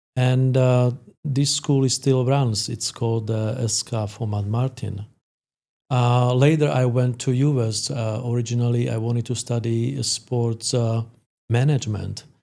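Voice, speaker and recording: In a Slovak accent, a man with a medium pitch and a dark, mellow tone speaks at a fairly slow pace with fairly even intonation, on a very clean recording with a silent background. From Slovakia. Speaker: sport psychologist. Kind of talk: podcast interview. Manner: halting, many fillers.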